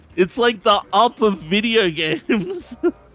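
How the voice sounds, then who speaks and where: A man talks in a high pitch while music plays behind him. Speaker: video game streamer. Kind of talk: casual gameplay commentary. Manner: casual, filler-heavy.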